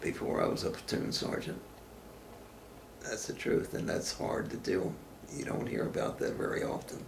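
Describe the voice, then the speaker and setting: The speaker talks at a moderate pace with long, frequent pauses. Background noise is noticeable. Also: man. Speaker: war veteran. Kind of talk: interview answer.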